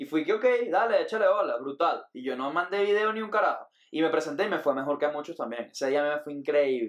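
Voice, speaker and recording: A man speaks very fast in a fairly high pitch, his intonation lively. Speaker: comedian. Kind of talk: casual chat.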